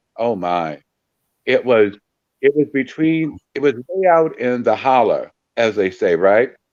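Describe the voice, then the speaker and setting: Speaking at a fairly slow pace with lively intonation, this is an ordinary speaking voice. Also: man. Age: 60s. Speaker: paranormal investigator and volunteer. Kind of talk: podcast interview.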